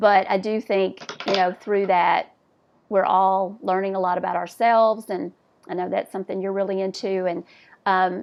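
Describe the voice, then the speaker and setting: A Southern US accent at a moderate pace, with monotone, flat intonation. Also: woman, medium pitch for a woman. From US South. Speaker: podcast host. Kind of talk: casual chat.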